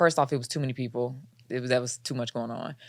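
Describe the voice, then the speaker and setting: A woman speaks at a very fast pace with a Chicago South Side accent on a very clean recording with a silent background. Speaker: comedy podcast co-host. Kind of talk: casual chat.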